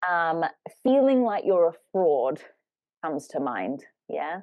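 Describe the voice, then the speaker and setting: With a British accent, the speaker uses lively intonation at a fairly slow pace. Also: woman. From Britain. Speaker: life coach, podcast co-host. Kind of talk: casual podcast conversation.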